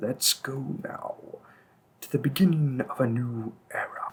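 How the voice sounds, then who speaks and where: A man in a put-on character voice speaks at a fairly slow pace with a medium pitch. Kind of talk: audio roleplay. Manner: cold, mocking, threatening.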